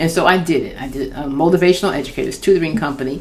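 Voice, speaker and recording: Noticeable background noise sits under a woman talking at a very fast pace in a fairly low pitch, her pitch variation ordinary. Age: 60s. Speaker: children's book author. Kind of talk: casual talk to camera. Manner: candid, conversational.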